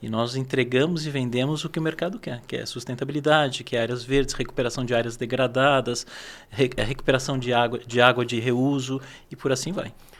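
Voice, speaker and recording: A man at medium pitch in an ordinary speaking voice, with a fairly quick pace and fairly even intonation. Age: 60s. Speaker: agronomist and landscaping business owner. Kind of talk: podcast interview.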